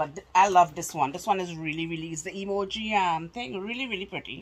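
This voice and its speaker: At a moderate pace, a woman speaks at a fairly low pitch with ordinary pitch variation. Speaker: haul vlogger. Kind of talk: casual vlog chat. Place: home room. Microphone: phone near.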